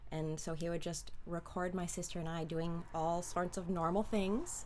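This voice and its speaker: Audible room echo surrounds a woman speaking at a moderate pace with a fairly low pitch and monotone, flat intonation. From US Midwest (Chicago and southern Ohio). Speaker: film actress. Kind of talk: interview. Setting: livestream.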